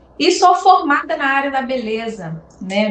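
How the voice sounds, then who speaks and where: A woman speaks at a very slow pace. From Brazil, Nova Friburgo (Rio de Janeiro state). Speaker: beauty professional and entrepreneur. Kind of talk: interview.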